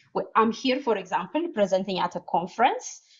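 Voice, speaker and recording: This woman speaks with a non-native accent. Her intonation is lively. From Ethiopia. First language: not English. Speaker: cognitive scientist. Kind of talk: conference talk with Q&A. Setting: conference with audience. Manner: halting, many fillers.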